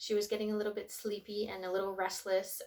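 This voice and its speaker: In a Canadian Prairie accent, a woman talks very fast at a medium pitch. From Canadian Prairies. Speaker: tarot reader and spiritual vlogger. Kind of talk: casual vlog talk. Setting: at home, sitting on the floor.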